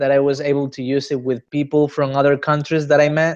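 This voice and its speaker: Someone with a Spanish accent talks at a moderate pace. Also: man. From Spain, Granada. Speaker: interviewee, Spanish speaker. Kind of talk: interview. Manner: halting, many fillers.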